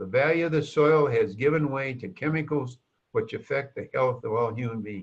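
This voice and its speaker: A man with a fairly high pitch and a somewhat breathy voice talks at a moderate pace with lively intonation. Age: 80s+. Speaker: sales presenter. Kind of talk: sales pitch. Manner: animated.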